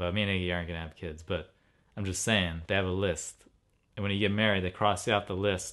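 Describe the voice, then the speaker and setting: A man talks at a very fast pace in a very deep, low pitch. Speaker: vlogger. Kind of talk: casual chat. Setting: home. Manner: animated; loud.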